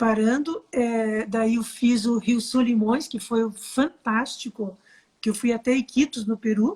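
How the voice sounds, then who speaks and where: A woman's fairly high voice moves at a very slow pace. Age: 60s. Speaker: photographer. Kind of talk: interview. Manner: animated.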